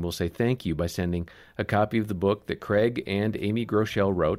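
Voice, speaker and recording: A man's fairly low voice, a plain, everyday voice, at a fairly quick pace on a very clean recording with a silent background. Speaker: podcast host. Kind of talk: casual chat.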